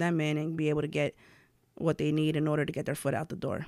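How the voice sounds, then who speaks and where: A woman with a New York accent in a very clean recording with a silent background. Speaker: blogger and content creator. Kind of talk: casual interview.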